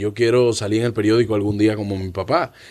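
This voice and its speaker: Here a man speaks at a very fast pace. His pitch sits fairly low. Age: 20s. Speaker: comedian and actor. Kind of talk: casual chat. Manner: halting.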